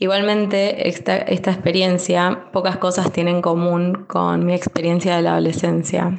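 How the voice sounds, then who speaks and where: The voice moves at a moderate pace in a monotone, flat intonation, with noticeable background noise behind it. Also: woman. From Bahía Blanca, Buenos Aires province, Argentina. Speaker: clinical research worker, expat mother. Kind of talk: prepared testimony recording.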